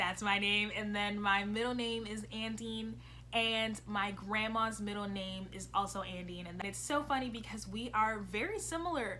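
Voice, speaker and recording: A woman speaks in an animated tone. Audible room echo surrounds her voice. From US, early childhood in Brazil. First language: Portuguese. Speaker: vlogger. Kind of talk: casual vlog talk.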